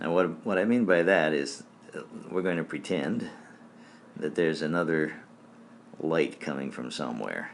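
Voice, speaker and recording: A man with a very deep, low voice and an American accent, relaxed in tone, at a moderate pace with ordinary pitch variation and audible room echo. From Michigan, US. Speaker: art teacher. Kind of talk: live-streamed drawing tutorial. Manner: hesitant, many fillers; casual, relaxed.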